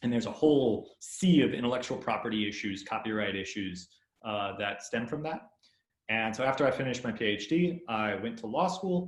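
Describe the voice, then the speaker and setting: Speaking in a plain, everyday voice with an American accent, a man talks at a medium pitch and a fairly quick pace with lively intonation. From US, California (Stockton). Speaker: law lecturer. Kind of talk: webinar presentation.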